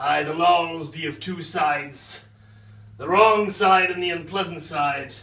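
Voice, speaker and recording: A man's put-on character voice, high-pitched and at a fairly slow pace. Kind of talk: comedy sketch vlog.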